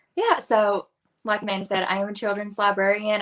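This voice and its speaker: A woman talks with a strong Tennessee accent. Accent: Southern US (Tennessee), strong. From West Tennessee, near Jackson. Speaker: children's librarian, book reviewer. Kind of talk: casual interview chat.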